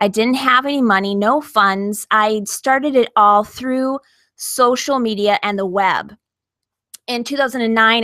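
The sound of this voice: A woman speaks with a bright, sharp tone. The sound is dry and close, with no echo.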